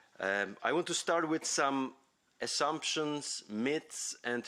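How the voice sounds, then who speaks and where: A man speaks in a Polish accent at a very slow pace. His tone is bright and sharp. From Poland (Poznań). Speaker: university academic and foundation president. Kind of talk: conference talk. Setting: conference hall. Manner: halting, many fillers.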